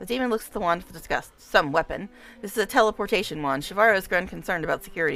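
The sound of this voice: The reading voice sounds unforced. Its pitch rises and falls in a lively way.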